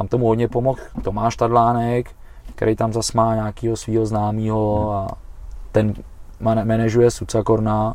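Flat and monotone, a man talks with a dark, mellow tone. His pitch is medium. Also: moderate pace. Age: 40s. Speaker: Thai boxing coach and fighter. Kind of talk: casual chat. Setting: improvised studio in a van.

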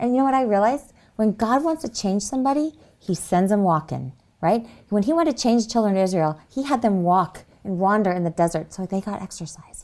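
This very clean recording with a silent background carries a normal speaking voice moving at a fairly quick pace with lively intonation. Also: woman, medium pitch for a woman. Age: 40s. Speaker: health retreat worker and teacher. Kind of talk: interview.

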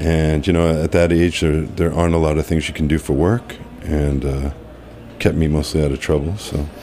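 A man with an American accent and a very deep, low pitch, at a moderate pace with fairly even intonation, over noticeable background noise. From Massachusetts, Cape Cod. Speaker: executive chef. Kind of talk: interview. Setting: studio.

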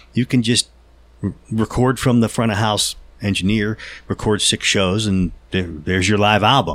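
A plain, everyday voice with an American accent speaks at a moderate pace with ordinary pitch variation and very even loudness on a very clean recording with a silent background. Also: man, fairly low pitch for a man. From Pittsburgh, western Pennsylvania. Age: 50s. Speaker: professional musician. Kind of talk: casual chat.

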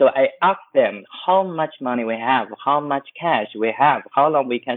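At a fairly slow pace, a man with a Chinese accent speaks at a medium pitch. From West China, Chengdu. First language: Mandarin Chinese. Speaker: travel agency founder. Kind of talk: interview. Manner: halting, many fillers.

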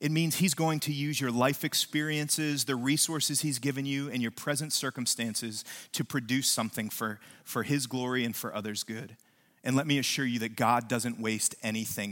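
A man with an American accent speaks at a moderate pace in a plain, everyday voice, on a very clean recording with a silent background. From West Virginia. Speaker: pastor. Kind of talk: sermon. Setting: church.

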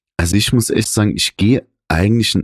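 In a very clean recording with a silent background and a dry, close sound with no echo, a man speaks at a fairly low pitch and a fairly quick pace with ordinary pitch variation. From Saarland, village near Saarbrücken. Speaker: podcast co-host. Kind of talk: casual chat. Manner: animated.

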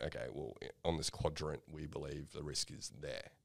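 A man is speaking. He has an Australian accent. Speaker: podcast host. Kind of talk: casual conversational podcast discussion.

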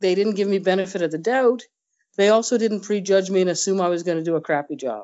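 This woman has a normal speaking voice, medium pitch and ordinary pitch variation. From Nova Scotia, Canada. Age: 50s. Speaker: senior police officer. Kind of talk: interview.

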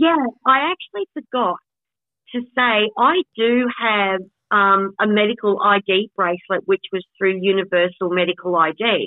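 A woman speaks with an Australian accent at a fairly slow pace. Her medium-pitched voice shows ordinary pitch variation. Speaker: podcast co-host with FND. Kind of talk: casual chat. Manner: halting.

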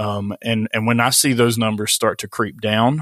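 In an Appalachian accent, the speaker talks at a moderate pace with monotone, flat intonation, in a very clean recording with a silent background and a dry, close sound with no echo. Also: man. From West Virginia. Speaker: pastor. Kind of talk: casual interview.

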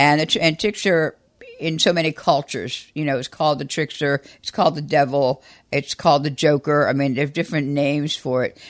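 On a very clean recording with a silent background, a woman speaks at a fairly quick pace. Her pitch is very deep and low, and her intonation is fairly even. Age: 70s. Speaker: astrologer podcast co-host. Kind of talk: casual chat.

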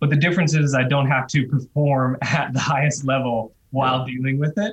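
A man speaks with an American accent. His pitch is fairly high and his pace moderate. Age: 30s. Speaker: retired pro cyclist. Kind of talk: podcast interview.

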